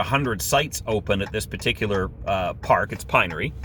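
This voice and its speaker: Noticeable background noise sits under a man's voice. He speaks in an animated tone with a Canadian accent. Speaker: RV camping vlogger. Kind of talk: casual vlog monologue. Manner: loud.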